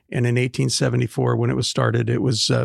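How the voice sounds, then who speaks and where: The speaker talks with an American accent in a dry, close sound with no echo. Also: man. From Portland, Oregon. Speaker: pastor and author. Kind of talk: casual chat.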